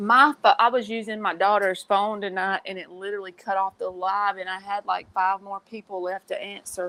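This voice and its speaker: A woman with a Southern US accent speaks at a moderate pace and medium pitch, her tone bright and sharp, her intonation monotone and flat, with hardly any pauses. Her loudness swings widely, and the sound is dry and close with no echo. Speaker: tarot reader. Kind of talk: casual chat. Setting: live stream.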